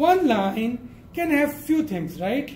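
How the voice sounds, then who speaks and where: The speaker goes at a very slow pace with lively intonation. Audible room echo and noticeable background noise fill the recording. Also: man. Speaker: programming lecturer. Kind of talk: lecture. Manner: halting.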